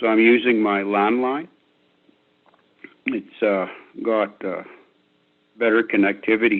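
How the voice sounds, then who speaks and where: Speaking at a medium pitch and a fairly slow pace, the man leaves long, frequent pauses. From Métis settlement, Alberta, Canada. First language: Cree and Michif. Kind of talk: panel dialogue talk. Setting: phone call into video conference. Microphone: landline phone line.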